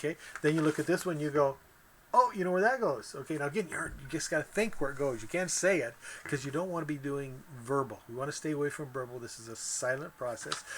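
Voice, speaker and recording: Very fast delivery from a man, pitched fairly high, the pitch varying in an ordinary way. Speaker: online course instructor. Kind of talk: tutorial. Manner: halting.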